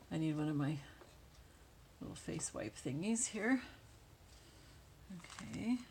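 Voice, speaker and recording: A soft-spoken, mumbling woman with a fairly low pitch and very wide pitch swings. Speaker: crafting YouTuber. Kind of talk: tutorial.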